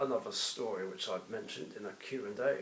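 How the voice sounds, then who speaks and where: A man speaks with an English accent. Audible room echo and noticeable background noise are present. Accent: posh-sounding English with a bit of. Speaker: YouTuber. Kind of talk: casual chat.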